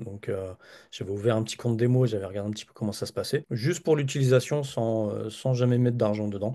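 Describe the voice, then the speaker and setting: Over a quiet background, a man's medium-pitched voice carries a dark, mellow tone and fairly even intonation. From Paris region, France. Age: 40s. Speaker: data analyst and trading student. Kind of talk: interview testimony. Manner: hesitant, many fillers.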